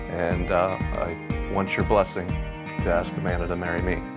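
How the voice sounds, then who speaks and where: Loud background music behind a man's moderate pace. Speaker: man proposing marriage. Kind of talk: casual talk, marriage proposal. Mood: sincere, a bit nervous. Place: home room.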